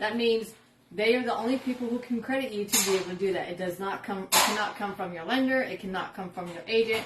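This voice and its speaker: Amid noticeable background noise, a woman talks very fast at a medium pitch with ordinary pitch variation. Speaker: real estate agent. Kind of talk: casual explainer video.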